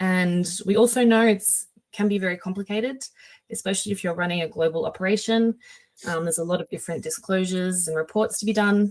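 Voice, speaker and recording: A woman with an Australian accent, medium pitch, ordinary pitch variation and a fairly quick pace. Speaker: company webinar presenter. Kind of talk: webinar presentation. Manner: hesitant, many filler sounds.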